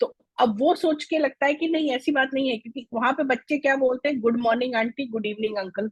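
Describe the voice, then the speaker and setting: A woman talks at a moderate pace with hardly any pauses, her pitch high and ordinary in its variation. The sound is dry and close, with no echo. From India, raised in Delhi, family from Mithila (Bihar). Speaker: Hindi language foundation founder, former banker. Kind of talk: interview.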